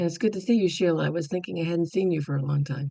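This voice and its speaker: A woman speaks with ordinary pitch variation. Her voice is somewhat breathy. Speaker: meditation group participant. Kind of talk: sharing circle check-in. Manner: halting.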